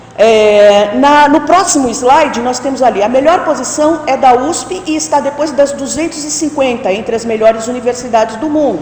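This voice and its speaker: Lively intonation runs through speech at a moderate pace with hardly any pauses, over noticeable background noise and audible room echo. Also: woman, high pitch for a woman. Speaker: academic conference presenter. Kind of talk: conference talk. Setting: auditorium with audience. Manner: halting.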